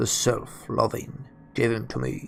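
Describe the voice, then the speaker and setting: A man does a put-on character voice, raspy and at a fairly slow pace, over clear background noise. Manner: commanding, encouraging fervor.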